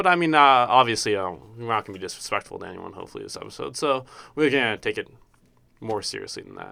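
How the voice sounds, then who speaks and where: This voice moves at a very fast pace. The recording is very clean with a silent background. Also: man, big swings in loudness. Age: 20s. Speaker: student podcast host. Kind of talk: casual chat. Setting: campus radio studio.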